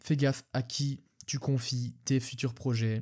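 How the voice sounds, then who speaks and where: Somewhat breathy and dark, mellow in tone, a man speaks with monotone, flat intonation in a very clean recording with a silent background. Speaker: podcast host. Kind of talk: solo podcast monologue. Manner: fast; halting, stumbling over words.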